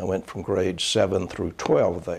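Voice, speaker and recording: A man's fairly low-pitched voice in a North Carolina accent, at a fairly slow pace. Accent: Southern US (North Carolina). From Charlotte, North Carolina, US South. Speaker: former state legislator and county official. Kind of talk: oral history interview. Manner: hesitant, many filler sounds.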